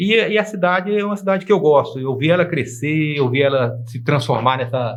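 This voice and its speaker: This man's voice sits fairly high in pitch. It is somewhat breathy. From Brazil, Anápolis, Goiás. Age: 60s. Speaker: lawyer. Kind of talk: TV interview. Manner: halting, self-correcting.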